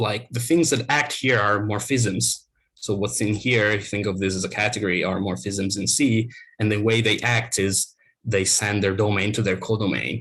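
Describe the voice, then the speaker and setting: On a very clean recording with a silent background, a man speaks at a fairly low pitch with ordinary pitch variation. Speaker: academic researcher. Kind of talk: lecture. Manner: fast.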